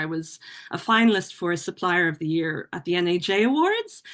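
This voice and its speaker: A woman with an Irish accent speaks against a quiet background. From Ireland. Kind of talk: podcast interview. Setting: podcast.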